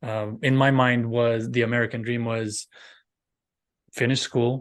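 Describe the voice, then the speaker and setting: A man with a Romanian accent and flat, monotone intonation. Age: 40s. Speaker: professional speaker. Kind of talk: interview podcast.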